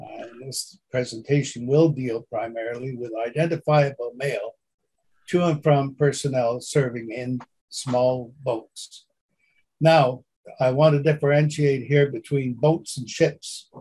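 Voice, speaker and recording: Somewhat breathy and dark, mellow in tone, a man's voice sits fairly high in pitch with fairly even intonation. He speaks fairly slowly, and his loudness swings widely. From Montreal, Quebec. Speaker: stamp collector and postal historian. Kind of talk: presentation. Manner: halting, many fillers.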